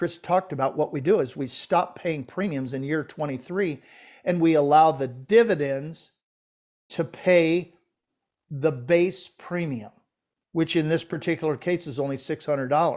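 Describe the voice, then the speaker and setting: An unremarkable speaking voice from a man, fairly high in pitch with ordinary variation, moves at a moderate pace in a very clean recording with a silent background. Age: 60s. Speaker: financial podcast co-host. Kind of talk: casual discussion of financial illustrations.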